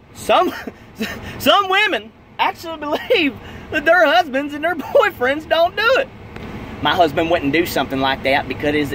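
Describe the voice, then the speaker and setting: In a dry recording with no echo but noticeable background noise, a man uses a raised, projected voice at a moderate pace. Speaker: comedic vlogger. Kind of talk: casual comedic rant. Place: car. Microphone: phone near.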